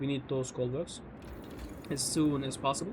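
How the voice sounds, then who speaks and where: With a non-native accent, someone talks at a moderate tempo. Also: man. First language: not English. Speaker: gaming youtuber. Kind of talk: gameplay commentary.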